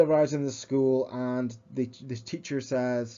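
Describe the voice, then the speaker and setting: A man is mumbling. His intonation stays fairly even. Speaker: educational video presenter. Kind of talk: slide-based lecture. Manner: halting, many fillers and repetitions.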